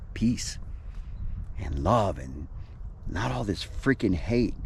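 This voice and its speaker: The pace is fairly slow and the tone relaxed. Pitch varies in an ordinary way. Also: man. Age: 60s. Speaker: vlogger. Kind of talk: casual vlog monologue. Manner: rambling, relaxed.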